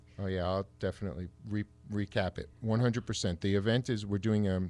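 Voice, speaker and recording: A man with a New York accent talks at a fairly quick pace in a fairly low pitch. The recording is very clean, with a silent background. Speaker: salon owner. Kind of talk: radio talk show interview. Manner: enthusiastic.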